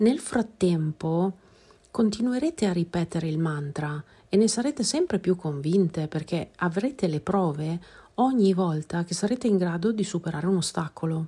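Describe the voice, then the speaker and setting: A woman with a fairly low, somewhat breathy, dark, mellow voice speaks at a moderate pace with lively intonation. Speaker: podcast host, personal growth coach. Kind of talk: podcast monologue; guided meditation.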